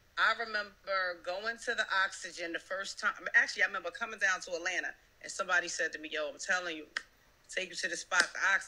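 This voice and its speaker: A woman with an American accent, very fast delivery, animated tone and big jumps in loudness, over noticeable background noise. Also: medium pitch for a woman. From New Jersey. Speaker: rapper. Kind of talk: casual chat.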